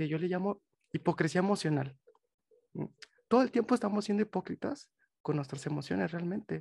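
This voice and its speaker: The delivery comes at a fairly quick pace with lively intonation. Long, frequent pauses break it up. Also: man, dry, close sound with no echo. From Mexico, Monterrey. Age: 20s. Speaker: psychologist. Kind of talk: interview.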